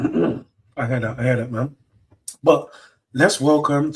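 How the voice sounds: A man puts on a character voice, raspy and hoarse, at a medium pitch. He speaks at a fairly slow pace with ordinary pitch variation.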